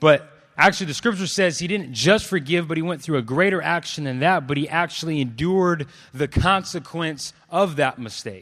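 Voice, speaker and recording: A man with an American accent speaks at a moderate pace, pitched fairly high, with ordinary pitch variation. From California (Clovis, family from Los Angeles). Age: 20s. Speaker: preacher. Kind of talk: sermon. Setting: stage with audience. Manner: animated.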